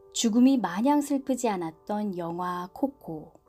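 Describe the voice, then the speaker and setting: A woman at a very slow pace, medium in pitch, with a calm tone and lively intonation over background music. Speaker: book reviewer and reader, audiobook/ASMR channel host. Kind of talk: book review and reading narration. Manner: soft, calm.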